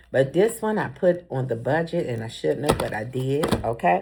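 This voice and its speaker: Over a very clean, silent background, a woman with vocal fry speaks in an animated tone at a moderate pace. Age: 50s. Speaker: vlogger. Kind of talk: casual vlog talk.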